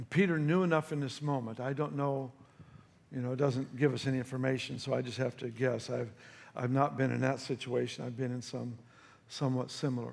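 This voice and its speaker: A man talks in a normal speaking voice. His pitch sits in the medium range. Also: fairly even intonation. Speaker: pastor, preacher. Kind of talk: sermon, preaching to a congregation.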